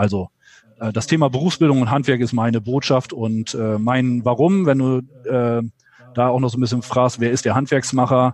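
Medium-pitched male speech, fairly even in intonation and moderate in pace. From northwestern Germany. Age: 40s. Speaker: trade association executive. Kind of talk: interview. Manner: hesitant, many filler sounds.

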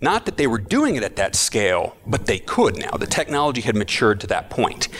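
Noticeable background noise surrounds a man speaking at a moderate pace with an American accent. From Texas, Austin. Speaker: futures educator and facilitator. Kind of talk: interview. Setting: conference event.

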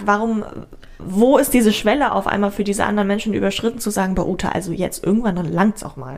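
Over noticeable background noise, a woman talks at a very fast pace. Her voice is fairly high with ordinary pitch variation. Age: 20s. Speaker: podcast co-host. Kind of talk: casual chat.

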